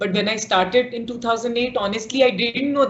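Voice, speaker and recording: A woman is talking. Her voice sits high in pitch. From India, Bihar. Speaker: media startup founder and CEO. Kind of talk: interview.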